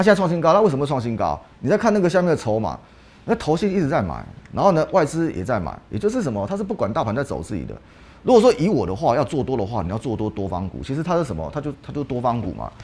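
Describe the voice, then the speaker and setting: Very wide pitch swings and vocal fry run through a man's fairly high-pitched voice as he speaks at a very fast pace. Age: 40s. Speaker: stock market analyst. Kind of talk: casual chat. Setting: studio. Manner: animated.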